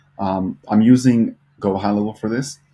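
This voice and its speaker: Mumbling and somewhat breathy, a man speaks with a fairly low pitch, a dark, mellow tone and ordinary pitch variation. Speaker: social media marketing agency owner, vlogger. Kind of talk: casual vlog and screen-share tutorial. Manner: mumbling, lots of fillers; unscripted, off the cuff.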